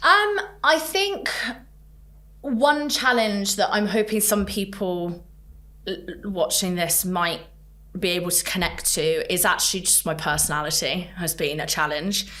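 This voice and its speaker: A loud woman of medium pitch speaks at a fairly slow pace in a bright, sharp tone, with lively intonation, long, frequent pauses and audible room echo. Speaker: tech sales leader. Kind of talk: podcast interview.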